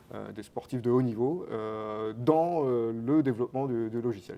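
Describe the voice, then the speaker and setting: At a moderate pace, a man speaks with medium pitch, ordinary pitch variation and a dark, mellow tone. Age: 30s. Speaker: company co-founder. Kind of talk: interview. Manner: hesitant, many fillers.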